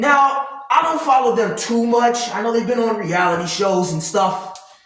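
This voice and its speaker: A loud, animated voice at a moderate pace, with very wide pitch swings and audible room echo. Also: man. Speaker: commentary vlogger. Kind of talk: casual rant.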